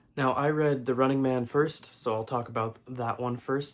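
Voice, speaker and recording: Over noticeable background noise, a man speaks at a fairly quick pace in a flat monotone at a medium pitch. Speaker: book reviewer. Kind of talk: casual chat. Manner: hesitant, many fillers.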